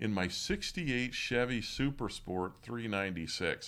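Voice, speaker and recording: His intonation rises and falls in a lively way. The speaker is a man with an American accent. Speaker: podcast host. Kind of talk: casual chat. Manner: conversational, hesitant with fillers.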